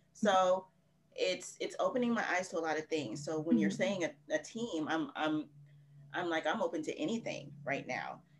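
Moderately paced speech full of lively intonation, set against noticeable background noise. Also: woman, fairly low pitch for a woman. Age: 30s. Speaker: romance author. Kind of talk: casual interview.

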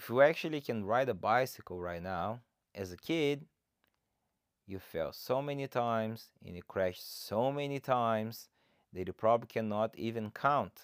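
In a Brazilian accent, a man speaks at a medium pitch and moderate pace with ordinary pitch variation and big swings in loudness, on a very clean recording with a silent background. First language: Portuguese. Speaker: fitness coach and podcaster. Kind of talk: solo podcast introduction, casual monologue. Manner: informal, motivational, friendly.

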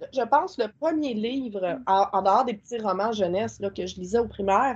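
A woman speaks with a Quebec accent. Her pace is fairly slow. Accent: Québécois French. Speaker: spiritual content creator and witchcraft practitioner. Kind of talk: casual interview.

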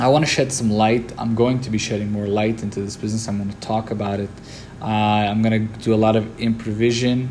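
A man talks very fast in a flat monotone. The room echo is audible. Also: medium pitch for a man. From Lebanon and Brazil. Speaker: business owner, podcast host. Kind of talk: solo podcast monologue. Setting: office.

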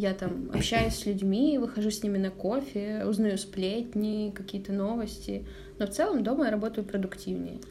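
A woman at a medium pitch and moderate pace, with ordinary pitch variation, audible room echo and noticeable background noise. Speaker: advertising manager at news outlet. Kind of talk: casual chat. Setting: at her home.

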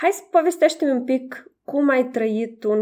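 At a moderate pace, a woman with a normal speaking voice uses lively intonation. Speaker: podcast host. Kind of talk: interview.

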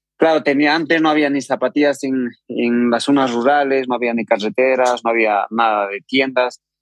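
The sound is dry and close, with no echo. A man with a normal speaking voice talks at a moderate pace in a medium pitch and fairly even intonation. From Peru, Andean highlands of Huancavelica. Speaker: trail runner. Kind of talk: interview.

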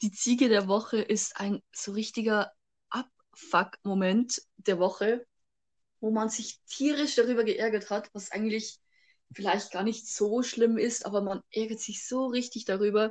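With an unremarkable speaking voice, a woman talks fairly slowly at a fairly high pitch with fairly even intonation. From Bavaria. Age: young. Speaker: podcast co-host. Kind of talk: casual chat. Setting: remote recording.

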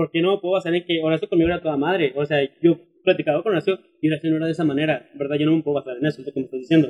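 A fairly high-pitched man at a very fast pace, his intonation fairly even. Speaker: podcast host. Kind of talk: casual chat.

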